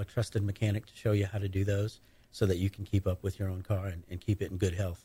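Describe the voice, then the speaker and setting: His voice is fairly low in pitch, somewhat breathy and dark, mellow in tone, delivered by a man in a monotone, flat intonation. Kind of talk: casual radio interview answers. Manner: easygoing, conversational, a bit halting with fillers.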